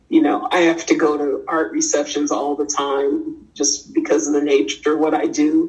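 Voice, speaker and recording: A woman speaking with hardly any pauses over noticeable background noise. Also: moderate pace. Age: 50s. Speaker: artist. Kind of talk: interview. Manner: halting.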